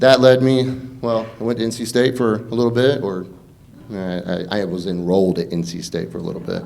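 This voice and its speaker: A man with a Southern US accent and ordinary pitch variation, amid audible room echo. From Eastern North Carolina, Pamlico County. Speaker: congressional candidate, army veteran. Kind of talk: campaign debate speech.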